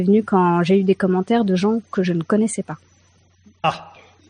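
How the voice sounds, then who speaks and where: Heard dry and close with no echo over a quiet background, a woman has a medium pitch, ordinary pitch variation and a dark, mellow tone. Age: 30s. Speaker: caller, amateur writer. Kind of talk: casual chat. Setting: video call.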